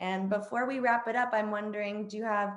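A woman is speaking. Her pitch is medium. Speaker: podcast host. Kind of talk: interview conversation. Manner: upbeat, enthusiastic.

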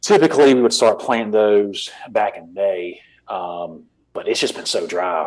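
A man speaks in a coastal Georgia accent. His loudness swings widely. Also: moderate pace. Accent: US Southern (coastal Georgia). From US South, Savannah, Georgia. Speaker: hunter and habitat manager. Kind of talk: casual interview.

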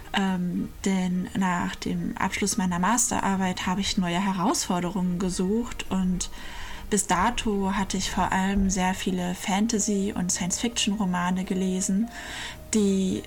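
A woman of medium pitch talks at a fairly slow pace, with noticeable background noise and audible room echo. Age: 30s. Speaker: environmental engineer. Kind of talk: recorded personal statement.

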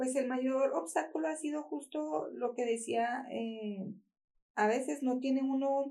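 Speaking very slowly, a woman uses lively intonation at a high pitch, her tone dark and mellow. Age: 40s. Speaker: small business owner. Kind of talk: interview testimony.

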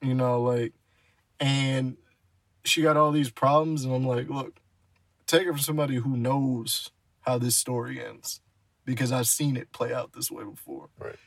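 With fairly even intonation and a fairly high pitch, a man speaks in an ordinary speaking voice. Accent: American. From New Jersey. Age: 20s. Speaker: podcast co-host. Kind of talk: casual chat.

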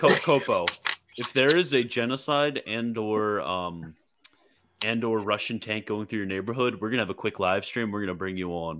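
Here a man speaks at a fairly low pitch in an animated tone. The tone is also bright and sharp. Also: ordinary pitch variation, moderate pace. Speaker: livestreamer host. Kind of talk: casual chat. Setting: live stream online. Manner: animated, joking.

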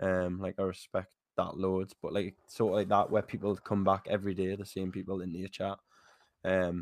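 A man with a very deep, low voice talks at a fairly quick pace in a very clean recording with a silent background. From northern England. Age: 20s. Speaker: game streamer. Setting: live stream with video camera.

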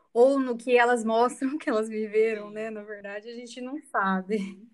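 Here a woman speaks with a fairly high pitch. Her intonation stays fairly even. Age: 30s. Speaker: student and mother. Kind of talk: interview testimony.

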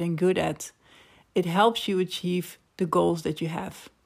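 A woman with a Dutch accent at a fairly low pitch, on a very clean recording with a silent background. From Netherlands. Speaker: podcast host, personal branding consultant. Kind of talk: solo monologue podcast.

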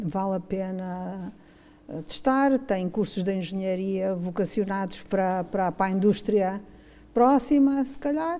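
A woman with a dark, mellow tone speaks at a fairly slow pace with lively intonation. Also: medium pitch for a woman. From Mozambique. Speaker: textile engineer. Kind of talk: casual reminiscing interview.

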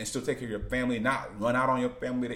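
Room echo is audible as a man speaks very fast at medium pitch. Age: 30s. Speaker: vlogger. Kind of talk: casual monologue. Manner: halting.

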